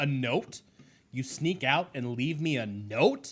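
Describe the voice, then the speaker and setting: A man puts on a character voice at a medium pitch with ordinary pitch variation. He hisses and keeps to a fairly slow pace. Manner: hissing, angry.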